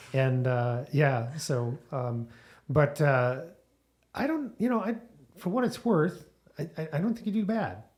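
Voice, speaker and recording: A man speaks at a fairly slow pace in a somewhat breathy voice. His pitch swings very widely, with long, frequent pauses. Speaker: podcast host. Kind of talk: casual chat. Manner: halting.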